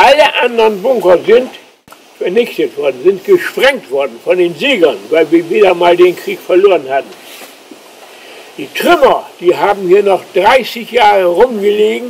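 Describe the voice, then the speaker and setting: A man's high-pitched voice with lively intonation at a fairly slow pace, over noticeable background noise. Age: 80s+. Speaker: eyewitness and island chronicler. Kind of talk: guided tour explanation.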